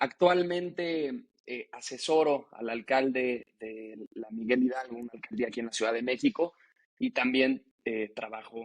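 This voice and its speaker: In a dry, close recording with no echo, a man speaks fairly slowly in an unremarkable speaking voice, medium pitch and ordinary pitch variation, his loudness swinging widely. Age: 20s. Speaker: young politician, legislative adviser. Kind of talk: podcast interview.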